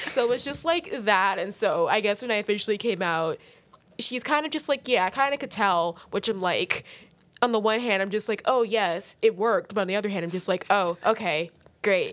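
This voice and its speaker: A woman has an ordinary speaking voice at a medium pitch. She talks at a moderate pace with lively intonation. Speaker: student. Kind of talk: casual chat.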